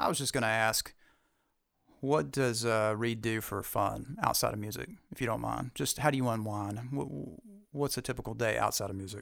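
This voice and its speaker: Delivery comes at a moderate speed. The pitch rises and falls in an ordinary way. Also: man, medium pitch for a man. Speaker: podcast co-host. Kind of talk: casual podcast chat. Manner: playful, animated.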